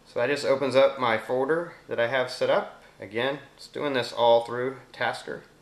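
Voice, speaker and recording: A man talks at a medium pitch and a moderate pace. His intonation is fairly even, with noticeable background noise. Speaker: tech reviewer. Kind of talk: tutorial. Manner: casual, conversational.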